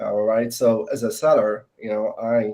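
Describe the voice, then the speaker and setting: A man with a non-native accent speaks in a dark, mellow tone with fairly even intonation. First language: not English. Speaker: salesperson. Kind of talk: panel discussion. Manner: hesitant, many fillers.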